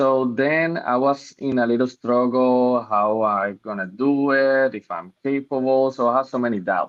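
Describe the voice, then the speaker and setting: In a Spanish accent, the speaker goes at a fairly slow pace with hardly any pauses and ordinary pitch variation. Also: man, medium pitch for a man. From Puerto Rico. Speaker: medical student. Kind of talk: personal introduction. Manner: halting.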